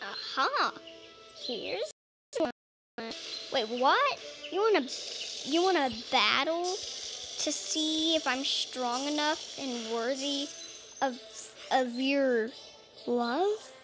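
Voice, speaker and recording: A woman's put-on character voice at a very slow pace, broken by long, frequent pauses. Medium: solo performance. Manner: cheerful, teasing.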